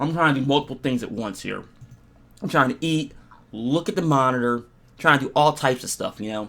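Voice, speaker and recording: A man's raspy, put-on character voice at a medium pitch with ordinary pitch variation, a fairly quick pace and long, frequent pauses. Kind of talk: casual, conversational.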